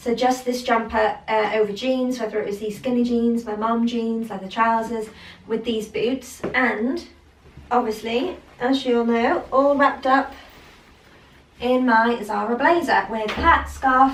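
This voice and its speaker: A fairly high-pitched woman at a fairly slow pace, her intonation fairly even, with audible room echo. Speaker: fashion vlogger. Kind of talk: fashion haul / styling vlog. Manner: casual, chatty with many fillers; pitch going high at times.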